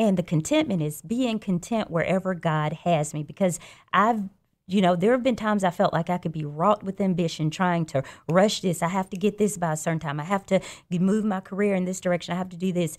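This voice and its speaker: A woman at a medium pitch with a Southern US accent, a fairly quick pace, and ordinary pitch variation. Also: very clean recording, silent background. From Alabama, Birmingham. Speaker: judge. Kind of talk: radio interview. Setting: studio.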